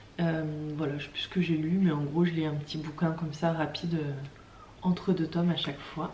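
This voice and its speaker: The speech runs at a fairly quick pace in a monotone, flat intonation. Audible room echo and noticeable background noise are present. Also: woman, very deep, low pitch for a woman. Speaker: craft vlogger. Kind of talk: casual vlog talk. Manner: hesitant, many fillers.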